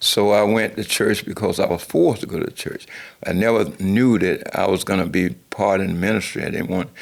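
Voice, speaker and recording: Speaking at a fairly quick pace, a man with an ordinary speaking voice keeps a fairly low pitch and ordinary pitch variation. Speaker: pastor. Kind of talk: personal life story.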